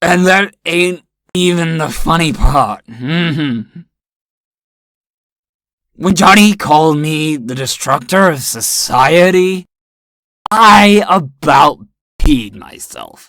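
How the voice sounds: A woman puts on a character voice, low-pitched and fairly bright in tone, with lively intonation. She speaks slowly and leaves long, frequent pauses.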